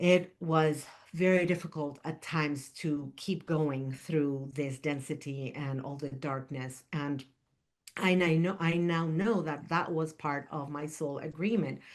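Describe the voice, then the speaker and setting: The background is quiet as a woman speaks with a very deep, low pitch. She keeps a fairly slow pace and fairly even intonation. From Argentina. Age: 60s. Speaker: spiritual teacher and podcast host. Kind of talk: spiritual monologue podcast. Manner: halting, with repetitions and fillers.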